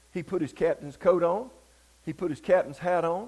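With a Southern US accent, a man speaks very fast at a high pitch. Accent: Southern US (Georgia). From US South, Georgia. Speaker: revival preacher. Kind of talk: sermon.

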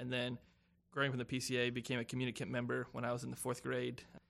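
A man talks at a very fast pace with an American accent. Vocal fry runs through his voice. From South Carolina (Spartanburg). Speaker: pastoral intern. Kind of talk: casual chat.

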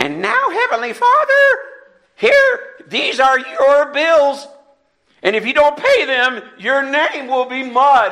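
Putting on a character voice, a man goes squeaky and extremely high. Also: fairly slow pace. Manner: demanding, bargaining prayer.

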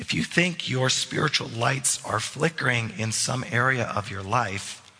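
Against noticeable background noise, a man speaks at a fairly slow pace. His medium-pitched voice has lively intonation. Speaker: pastor. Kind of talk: sermon. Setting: church.

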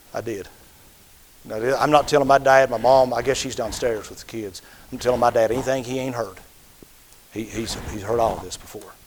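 A man talks at a fairly quick pace with long, frequent pauses and big swings in loudness over noticeable background noise. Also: medium pitch for a man, fairly even intonation. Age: 50s. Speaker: pastor. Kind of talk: sermon.

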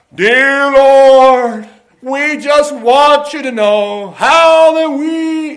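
A put-on character voice, high-pitched, at a very slow pace. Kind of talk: churchy prayer. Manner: fake pious, affected.

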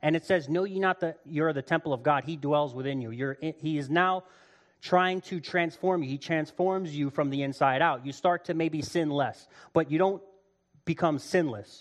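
A man talks at a moderate pace with a fairly high pitch and ordinary pitch variation. The background is quiet. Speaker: lay preacher. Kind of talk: sermon. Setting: church service with audience. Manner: loud.

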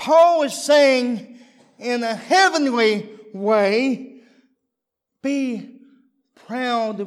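Speaking with a Texan accent, a man has an extremely high pitch. His pitch variation is ordinary. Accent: Texan US Southern. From Texas. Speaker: visiting preacher. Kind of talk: sermon. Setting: church.

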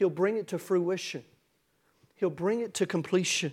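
A man speaks with a Tennessee accent and ordinary pitch variation. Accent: Southern US (Tennessee). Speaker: pastor. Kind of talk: sermon. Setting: church.

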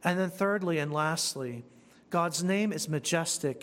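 Speaking at a fairly slow pace, a man uses a normal speaking voice, fairly high for a man, with ordinary pitch variation. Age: 40s. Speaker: pastor. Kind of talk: sermon.

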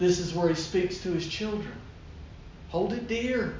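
A man speaks at a fairly slow pace in a high pitch with fairly even intonation. Audible room echo and noticeable background noise surround him. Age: 50s. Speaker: pastor. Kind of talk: sermon.

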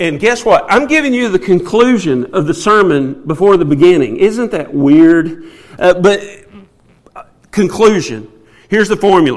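This man has a Southern US accent and a high pitch. He speaks at a moderate pace with lively intonation. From US South. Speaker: preacher. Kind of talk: sermon.

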